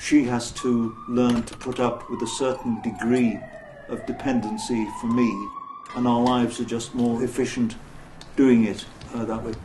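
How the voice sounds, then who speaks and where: A man's medium-pitched voice, monotone and flat, at a moderate pace with noticeable background noise. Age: 70s. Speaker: retired professional with sight loss. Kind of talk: documentary interview answer.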